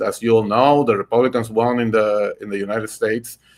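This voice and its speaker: A man with a Puerto Rican accent at a fairly quick pace, in a very clean recording with a silent background. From Puerto Rico. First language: Spanish. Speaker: podcast host and political candidate. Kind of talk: political podcast talk. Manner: halting, many fillers and repetitions.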